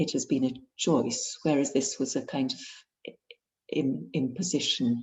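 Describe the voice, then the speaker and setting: Here a woman speaks with an English accent. She talks at a fairly slow pace. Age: 60s. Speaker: painter and author. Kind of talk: author interview. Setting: video call. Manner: halting.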